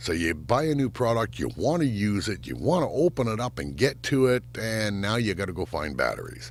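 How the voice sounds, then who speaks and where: Rumbling and full of vocal fry, a man's fairly low voice moves at a fairly quick pace. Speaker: YouTuber reviewing gear. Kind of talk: product review. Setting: home sound booth. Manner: casual, conversational. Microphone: recorded on studio microphone and camera shotgun mic.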